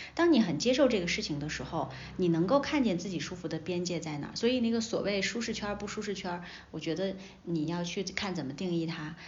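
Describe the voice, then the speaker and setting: A somewhat breathy woman at a medium pitch, with lively intonation, a fairly quick pace and audible room echo. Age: 30s. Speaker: media veteran and entrepreneur. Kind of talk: casual interview chat.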